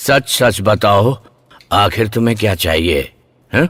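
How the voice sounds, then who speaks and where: In a put-on character voice, the speaker goes at a very slow pace, raspy and with lively intonation. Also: man, fairly low pitch for a man. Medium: fan dub.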